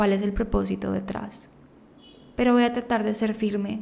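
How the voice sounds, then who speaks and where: Moving at a moderate pace, a woman's fairly high voice stays monotone and flat. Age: 20s. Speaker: podcast host. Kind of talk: personal monologue. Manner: improvised.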